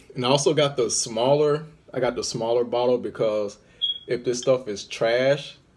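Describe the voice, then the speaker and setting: A man speaks fairly slowly, and his pitch varies in an ordinary way. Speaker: vlogger. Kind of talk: casual vlog chat. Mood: relaxed, playful. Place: home room. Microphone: phone near.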